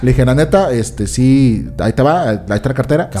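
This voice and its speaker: Someone talks at a very fast pace in an animated tone over noticeable background noise. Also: man. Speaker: comedy podcast host. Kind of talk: casual chat.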